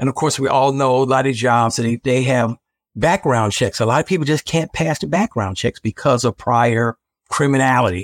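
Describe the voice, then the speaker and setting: An American-accented man talks at a moderate pace with ordinary pitch variation and very even loudness. The sound is dry and close with no echo, on a very clean recording with a silent background. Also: medium pitch for a man. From Chicago, South Side. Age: 60s. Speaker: podcast host. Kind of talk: casual interview conversation. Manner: animated, laughs often.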